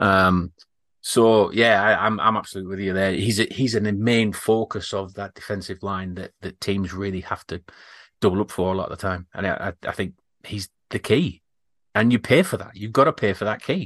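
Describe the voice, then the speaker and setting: In an English accent, a man speaks at a fairly low pitch and a moderate pace with fairly even intonation, in a dry, close sound with no echo and a quiet background. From Britain. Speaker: podcast host. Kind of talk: casual chat.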